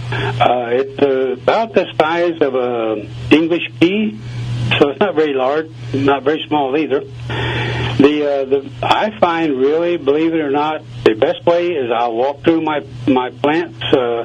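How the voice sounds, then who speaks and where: Noticeable background noise behind a man with an American accent and a fairly high pitch. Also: ordinary pitch variation, fairly slow pace. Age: 70s. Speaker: gardener. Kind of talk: radio interview.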